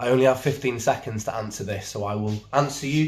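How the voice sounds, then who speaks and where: Speaking at a moderate pace, a man uses a medium pitch with ordinary variation. His voice is somewhat breathy, with a quiet background. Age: 30s. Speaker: musician. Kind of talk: casual Q&A chat. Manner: animated.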